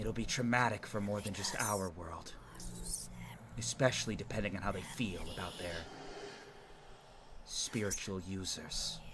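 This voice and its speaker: A man uses a put-on character voice at a fairly low pitch. He leaves long, frequent pauses over clear background noise. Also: moderate pace. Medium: actual play. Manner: earnest, measured.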